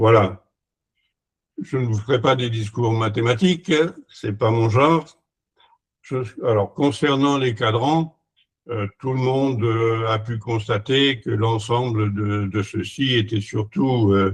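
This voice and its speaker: At a very slow pace with long, frequent pauses, a man speaks at medium pitch in a somewhat breathy voice. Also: ordinary pitch variation. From France. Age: 80s+. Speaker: retired engineer and sundial maker. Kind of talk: conference presentation. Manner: halting, many hesitations.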